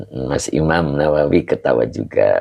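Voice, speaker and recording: The sound is dry and close with no echo. A man speaks at a fairly slow pace. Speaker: Islamic religious teacher. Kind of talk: online religious study lesson.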